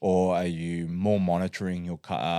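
In a very clean recording with a silent background, a man with an Australian accent speaks in a very deep, low voice with fairly even intonation. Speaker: strongman athlete and coach. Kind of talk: casual chat. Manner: laughs often.

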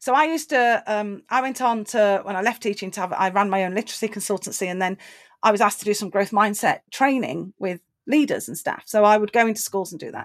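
Very fast speech with an English accent, big swings in loudness and ordinary pitch variation, on a very clean recording with a silent background. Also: woman, medium pitch for a woman. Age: 50s. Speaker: motivational speaker. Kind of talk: casual chat.

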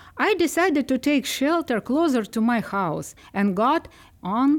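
A woman with a Ukrainian accent talks at a fairly slow pace. Her pitch swings very widely. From Ukraine. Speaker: librarian. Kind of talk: podcast interview. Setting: studio.

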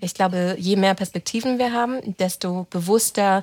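A woman with a normal speaking voice talks at a moderate pace with ordinary pitch variation, recorded very cleanly against a silent background. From Germany, German-Romanian family. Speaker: team lead. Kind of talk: casual interview.

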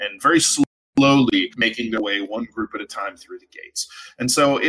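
Someone reads aloud plainly against a quiet background.

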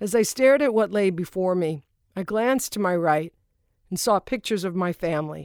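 A woman with an ordinary speaking voice talks at medium pitch with ordinary pitch variation. The recording is very clean, with a silent background. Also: dry, close sound with no echo. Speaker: audiobook author-narrator. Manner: intimate, somber and hushed in the suicide passages, with deliberate pauses; shifts to lighter, conversational tone in dialogue and joking moments.

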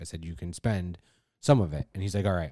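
In a New York accent, a man talks at a very fast pace in a very deep, low voice with a dark, mellow tone and ordinary pitch variation. The recording is very clean, with a silent background. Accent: New York, drops the R. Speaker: podcast host. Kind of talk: casual chat. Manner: profane, jokey.

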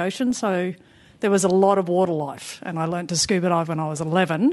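A woman's voice with an Australian accent and ordinary pitch variation. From Papua New Guinea. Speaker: spinal cord injury patient. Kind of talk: interview. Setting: studio.

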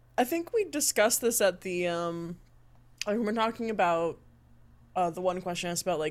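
A plain, everyday voice with ordinary pitch variation. The pace is fairly quick. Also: woman. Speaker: tabletop game player.

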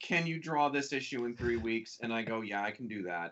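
Speaking at a moderate pace with an American accent, a man with a plain, everyday voice uses lively intonation. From Milwaukee, Wisconsin. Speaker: comic book artist. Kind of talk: casual chat.

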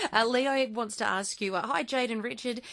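Here a woman speaks with an Australian accent. Her pitch varies in an ordinary way. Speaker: radio host. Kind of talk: radio call-in chat.

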